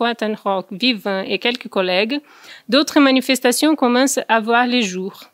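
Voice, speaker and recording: A woman with a Brazilian accent speaks at a high pitch and a moderate pace with ordinary pitch variation, the sound dry with no echo over a quiet background. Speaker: researcher. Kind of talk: conference presentation. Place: meeting room. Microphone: podium.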